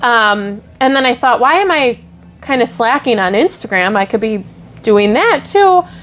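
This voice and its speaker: With a strong Wisconsin accent, a woman speaks at a moderate pace in a high voice, swinging very widely in pitch while her loudness stays very even. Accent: thick Wisconsin. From Wisconsin, Milwaukee area. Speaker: social media creator. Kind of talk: podcast interview. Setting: on location at a venue.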